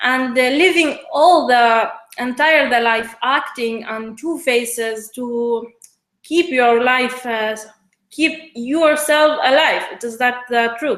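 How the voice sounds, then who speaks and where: Speaking at a very slow pace with a high pitch, a woman with an Iraqi accent is heard with audible room echo. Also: ordinary pitch variation. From Iraq, Basra. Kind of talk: interview. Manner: halting, many hesitations.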